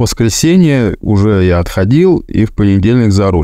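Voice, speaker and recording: Lively intonation carries a man's fairly low pitch and dark, mellow tone. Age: 40s. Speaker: driver sharing weight-loss story. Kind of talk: personal testimony.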